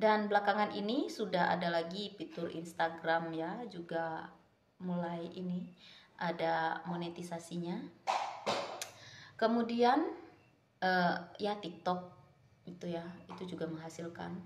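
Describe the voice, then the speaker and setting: A woman speaks at a fairly slow pace with long, frequent pauses. Her pitch is fairly low and her intonation fairly even, with audible room echo. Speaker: vlogger. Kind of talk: casual chat. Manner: casual, halting.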